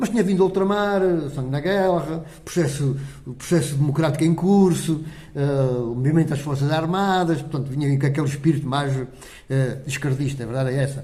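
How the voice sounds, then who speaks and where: Amid audible room echo, a man with a fairly high pitch talks at a fairly quick pace in a dark, mellow, somewhat breathy tone with ordinary pitch variation. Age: 70s. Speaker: parish council president. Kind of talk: interview.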